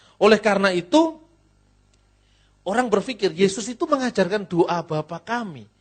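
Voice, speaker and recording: Lively and fairly quick, a man with a Javanese accent speaks at high pitch. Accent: noticeably Javanese when speaking Indonesian. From Java, Indonesia. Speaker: pastor and theologian. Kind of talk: lecture.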